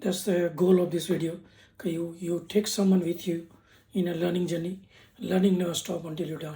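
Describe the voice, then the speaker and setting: Speaks with an Indian accent. The pace is fairly quick. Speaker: YouTuber giving business lessons. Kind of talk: casual vlog talk. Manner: halting, with repetitions.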